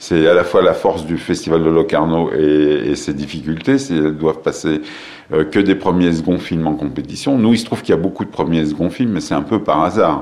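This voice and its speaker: Very deep, low pitch from a man at a fairly quick pace, with ordinary pitch variation and noticeable background noise. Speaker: film festival director. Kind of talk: interview. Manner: hesitant, many filler sounds and repetitions.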